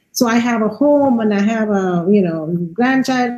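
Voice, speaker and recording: There is some breathiness in the voice. Pitch rises and falls a normal amount. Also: woman. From India. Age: 60s. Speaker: artist and curator. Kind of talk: interview.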